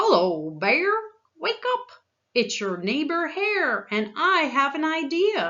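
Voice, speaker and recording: A woman puts on a character voice, pitched high, with very wide pitch swings at a fairly slow pace. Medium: read story. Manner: friendly.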